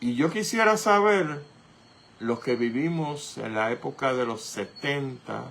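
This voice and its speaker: A man's fairly high voice at a very slow pace. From Puerto Rico. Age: 60s. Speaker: radio host. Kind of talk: political commentary. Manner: animated.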